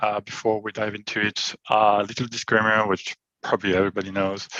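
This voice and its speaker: A man with a French accent talks at a moderate pace, his pitch fairly low and his tone bright and sharp. The sound is dry and close, with no echo. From France. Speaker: IT solutions architect. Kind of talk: technical presentation. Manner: hesitant, many fillers.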